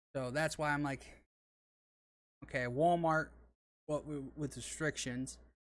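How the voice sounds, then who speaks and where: In a Southern US accent, a man with a fairly high pitch talks at a fairly slow pace and with fairly even intonation. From Arkansas. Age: 30s. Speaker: gaming streamer. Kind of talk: casual chat. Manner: halting.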